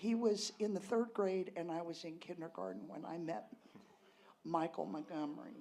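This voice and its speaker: This woman's voice has a dark, mellow tone with vocal fry. Her pitch swings very widely at a moderate pace. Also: big swings in loudness. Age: 60s. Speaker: storyteller at a tavern reunion. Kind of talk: personal storytelling on stage. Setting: stage with audience. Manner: animated.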